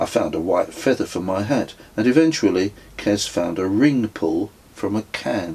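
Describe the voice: Words are read out plainly. Nothing more than plain reading aloud is heard.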